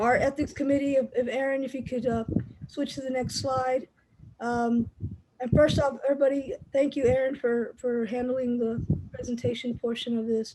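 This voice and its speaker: A loud woman's voice, high-pitched, with monotone, flat intonation. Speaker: chapter president of a basketball officials association. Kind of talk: online meeting address.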